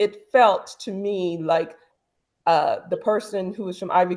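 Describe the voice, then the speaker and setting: A woman speaks with a slight Caribbean accent. Her intonation stays fairly even. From Antigua, Caribbean. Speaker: talk show co-host. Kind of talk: casual discussion.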